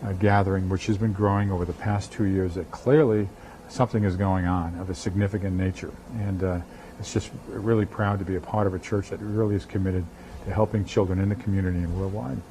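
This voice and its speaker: This man has a New England accent and a fairly low pitch. He talks very fast with fairly even intonation. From New England, Boston area. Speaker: pastor. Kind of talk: TV interview.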